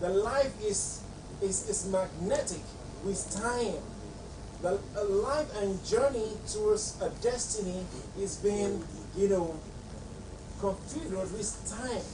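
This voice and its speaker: A man speaks at a high pitch and a very slow pace, with long pauses coming often. Noticeable background noise runs underneath. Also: ordinary pitch variation. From Nigeria. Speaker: acting coach / artistic director of a talent show. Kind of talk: lecture to trainees. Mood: stern, scolding. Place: home room. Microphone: camera far.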